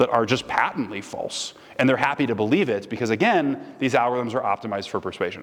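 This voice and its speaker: A man's medium-pitched voice with ordinary pitch variation at a very fast pace, over noticeable background noise. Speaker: guest speaker. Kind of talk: lecture Q&A. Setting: stage with audience.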